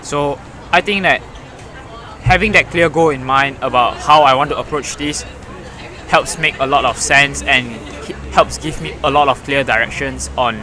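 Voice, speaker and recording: Against crowd noise in the background, a man talks at a moderate pace with long, frequent pauses. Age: 20s. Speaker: student runner. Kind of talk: podcast interview.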